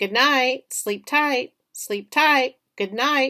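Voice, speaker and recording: A woman uses a put-on character voice at a high pitch. She speaks at a very slow pace. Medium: read story. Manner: repetitive, parroting.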